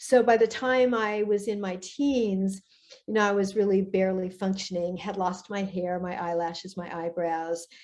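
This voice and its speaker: A woman speaks at a moderate pace in a normal speaking voice, her pitch medium. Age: 60s. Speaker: author and guest. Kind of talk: interview testimony.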